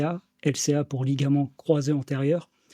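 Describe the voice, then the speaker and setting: Dry, close sound with no echo on a very clean recording with a silent background, a man's fairly high, dark and mellow voice with fairly even intonation. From Normandy, France (Orne). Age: 30s. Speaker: sports coach. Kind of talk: podcast interview. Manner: hesitant, many fillers.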